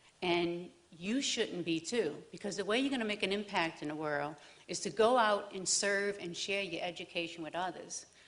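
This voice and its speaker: A woman's medium-pitched voice with a New Orleans accent and ordinary pitch variation. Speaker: divinity student. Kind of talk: personal testimony. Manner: halting, many fillers.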